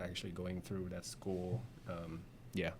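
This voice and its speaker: This man has a Vietnamese accent. His pitch sits fairly low. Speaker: insurance agent. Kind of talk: interview. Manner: halting.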